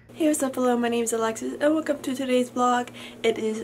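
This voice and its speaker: A woman talks while light noise sits in the background. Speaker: vlogger. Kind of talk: casual vlog chat. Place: home room. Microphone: phone near.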